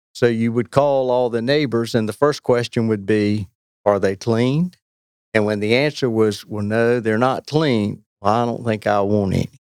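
Speaking with a North Carolina accent, a man keeps a medium pitch and a moderate pace. His intonation is fairly even, and the sound is dry and close with no echo. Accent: North Carolina Southern US. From North Carolina, Weldon. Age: 60s. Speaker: longtime angler. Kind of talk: casual chat.

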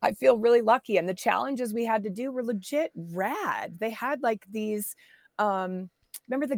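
A woman speaks at a moderate pace in a fairly high pitch, with ordinary pitch variation, in a plain, everyday voice. The sound is dry and close with no echo, on a very clean recording with a silent background. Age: 40s. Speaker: professional mountain biker and camp founder. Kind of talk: casual interview chat.

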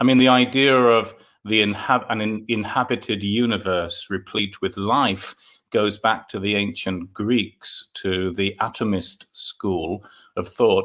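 A man speaks with a London accent at a fairly slow pace. His voice is fairly low, with fairly even intonation. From London, England. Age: 50s. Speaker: author and UFO folklore researcher. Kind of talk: interview. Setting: remote call.

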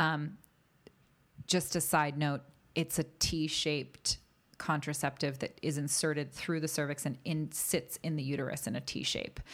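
At a fairly slow pace, a woman speaks in a very deep, low voice with vocal fry and monotone, flat intonation, in a very clean recording with a silent background. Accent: American. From US East Coast. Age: 30s. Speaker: actor and health advocate. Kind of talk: casual interview.

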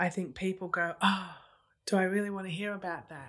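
In a very clean recording with a silent background, a woman with an Australian accent speaks at medium pitch with fairly even intonation. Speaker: family law solicitor, interviewer. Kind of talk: interview discussion.

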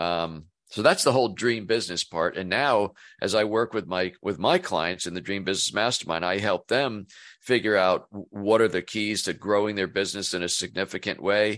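A man talks at a moderate pace with fairly low pitch and ordinary pitch variation, in an ordinary speaking voice over a quiet background. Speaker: business coach. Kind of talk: casual interview chat.

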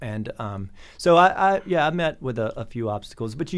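A man with an American accent speaks at a fairly high pitch and a moderate pace. His voice moves in very wide pitch swings. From US South. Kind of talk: casual interview.

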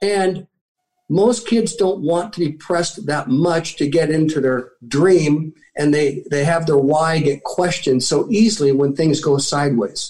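A man speaks in an ordinary speaking voice at a fairly slow pace. His pitch is fairly high, with ordinary variation. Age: 60s. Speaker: military veteran and motivational speaker. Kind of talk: interview.

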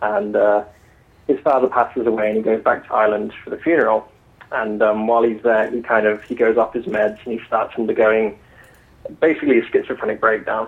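A man with an English accent, medium pitch, fairly even intonation and a fairly quick pace. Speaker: novelist. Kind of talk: interview.

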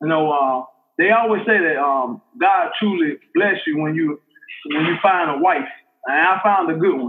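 A man talks with an Alabama accent. His voice is high in pitch. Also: ordinary pitch variation, moderate pace. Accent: Southern US (Alabama). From US South, Montgomery, Alabama. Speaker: football coach. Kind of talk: testimony. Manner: halting, many fillers and repetitions.

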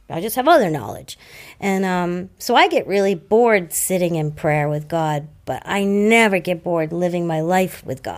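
In a Boston accent, a woman with a fairly low pitch speaks at a moderate pace in an animated tone, on a very clean recording with a silent background. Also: ordinary pitch variation. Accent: Boston-area New England. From Massachusetts, South Shore. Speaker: guest in recovery. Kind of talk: casual chat. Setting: recovery center room.

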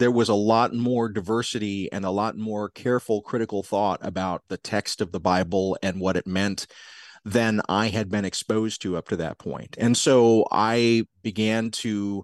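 An unremarkable speaking voice from a man with an American accent, fairly low-pitched, at a fairly slow pace with fairly even intonation, in a dry, close sound with no echo and a quiet background. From US South, South Georgia. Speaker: podcast producer and professor of spirituality. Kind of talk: interview conversation.

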